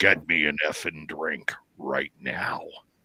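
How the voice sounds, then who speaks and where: A man's put-on character voice, very deep and low in pitch, husky and raspy, at a fairly slow pace. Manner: demanding, aggressive.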